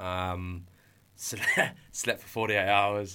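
A man with an English accent, fairly low-pitched, bright and sharp in tone, monotone and flat in delivery. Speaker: entrepreneur. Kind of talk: testimony. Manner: halting.

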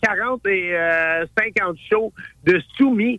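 A man's raised, projected voice, high in pitch, with bright, sharp tone, ordinary pitch variation and a dry, close sound free of echo. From Montreal. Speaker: chef and TV host. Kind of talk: casual chat.

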